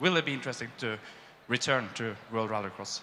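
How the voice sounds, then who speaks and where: Very fast delivery in a bright, sharp tone, with ordinary pitch variation. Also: man. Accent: Norwegian. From Norway. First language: Norwegian. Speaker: journalist. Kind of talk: audience question. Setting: stage with audience.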